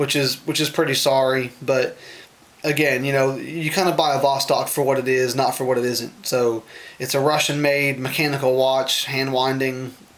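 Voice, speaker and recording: Noticeable background noise sits behind a man speaking at a moderate pace. His pitch is medium and his intonation fairly even. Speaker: watch reviewer. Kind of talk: product review video. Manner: halting, many fillers; casual, unscripted.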